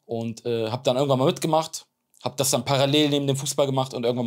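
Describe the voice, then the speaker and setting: A man rattles along at a very fast pace, the background quiet. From Germany, Bremen; Germany. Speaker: extreme athlete; podcast guest. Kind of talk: interview. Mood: earnest, reflective storytelling. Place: studio. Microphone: lapel.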